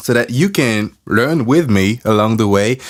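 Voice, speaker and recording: A man of medium pitch with a French accent and lively intonation, in a very clean recording with a silent background. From France or French-speaking region. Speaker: podcaster and musician. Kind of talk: casual motivational talk. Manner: casual, conversational with fillers.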